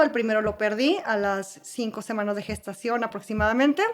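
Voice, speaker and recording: A woman speaks with ordinary pitch variation. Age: 30s. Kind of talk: personal testimony in podcast interview.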